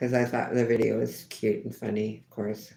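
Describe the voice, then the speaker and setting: Vocal fry in a woman's very deep, low voice, paced moderately. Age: 70s. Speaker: livestreamer chatting with viewers. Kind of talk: casual live stream chat reading comments. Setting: live stream outdoors on a rainy day. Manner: halting, repeats words.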